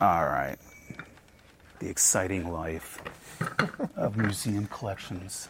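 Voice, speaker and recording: A man talks very slowly with a fairly low pitch and fairly even intonation. Long, frequent pauses break up his speech amid noticeable background noise. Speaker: museum collections director. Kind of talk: casual interview chat.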